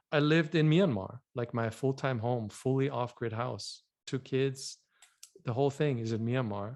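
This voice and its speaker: A man with a slight German accent talks at a moderate pace and medium pitch, with ordinary pitch variation. He leaves long, frequent pauses over a quiet background. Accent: subtle German. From Germany. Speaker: vision health educator. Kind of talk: podcast interview.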